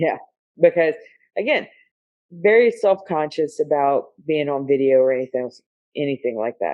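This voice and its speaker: A woman with a Southern US accent speaks at a moderate pace in a very deep, low pitch, her intonation lively. Her speech has long, frequent pauses. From US South. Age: 40s. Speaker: police officer. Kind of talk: casual chat.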